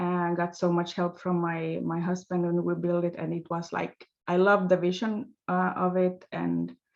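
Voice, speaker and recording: Speaking in a Swedish accent with a fairly low pitch, a woman keeps a moderate pace with hardly any pauses and monotone, flat intonation. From Finland. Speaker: life coach, former nurse. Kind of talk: interview. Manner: halting, many fillers.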